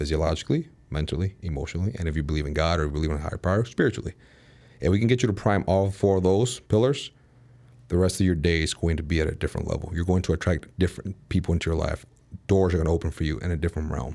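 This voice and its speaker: In an American accent, a man speaks at a very fast pace with a very deep, low pitch and a dark, mellow tone. The recording is very clean with a silent background. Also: ordinary pitch variation. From Chicago. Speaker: performance coach. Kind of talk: interview.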